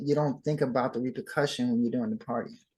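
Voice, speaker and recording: A man with an American accent speaks in a fairly high, somewhat breathy voice with lively intonation. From Southern California. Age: 60s. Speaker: dancer and actor. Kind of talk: interview.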